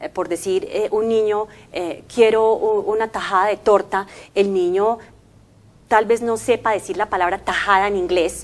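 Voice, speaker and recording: A woman with an English accent speaks at a fairly slow pace, her medium pitch held in fairly even intonation. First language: English (speaking Spanish). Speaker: language company commercial manager. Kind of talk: interview. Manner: hesitant, many fillers.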